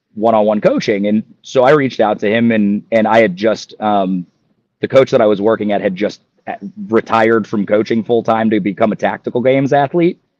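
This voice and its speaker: An unremarkable speaking voice from a man with an American accent, medium pitch, ordinary pitch variation, and a dry, close sound with no echo. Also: fairly quick pace. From Ohio. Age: 30s. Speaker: athlete. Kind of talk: podcast interview.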